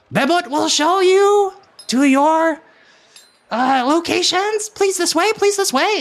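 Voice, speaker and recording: A squeaky, put-on character voice talking at a fairly slow pace. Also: man, extremely high pitch for a man. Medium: actual play. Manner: excitable, exclamatory, repetitive.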